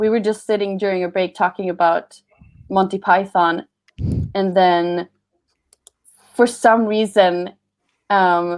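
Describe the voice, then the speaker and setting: A woman with a Swedish accent speaks at a medium pitch and a fairly slow pace, her intonation fairly even, with long, frequent pauses. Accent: Swedish, moderate. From Sweden. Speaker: voice actor. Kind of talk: panel Q&A. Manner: halting.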